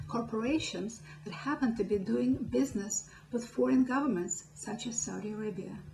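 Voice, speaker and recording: A woman with a Russian accent speaks with very wide pitch swings over music in the background, and the room echo is audible. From Soviet Union. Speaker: political activist. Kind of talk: political speech. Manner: impassioned.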